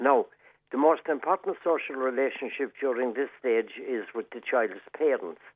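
With a Cork accent, this man talks at a moderate pace, his medium pitch showing ordinary variation. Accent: Cork Irish. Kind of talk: radio interview.

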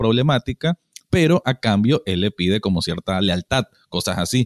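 With a Nicaraguan accent, a man speaks at a moderate pace with very wide pitch swings, the very clean, silent-background recording sounding dry and close with no echo. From Managua, Nicaragua. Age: 30s. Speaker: podcast co-host. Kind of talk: casual chat.

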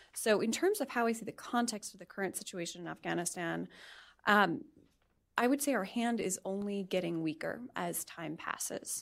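A woman with a normal speaking voice talks at a moderate pace in a medium pitch, her intonation lively, on a very clean recording with a silent background. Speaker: policy panelist. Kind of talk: panel presentation.

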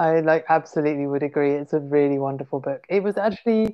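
A woman with a southern English accent speaks at a moderate pace with lively intonation. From southern England (Portsmouth). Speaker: literary translator and publicist. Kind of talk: interview.

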